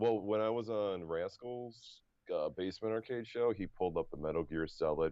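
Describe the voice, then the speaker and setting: This man talks at a moderate pace in a fairly low pitch, with ordinary pitch variation. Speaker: custom arcade business owner. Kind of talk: casual chat. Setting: live stream. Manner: loud.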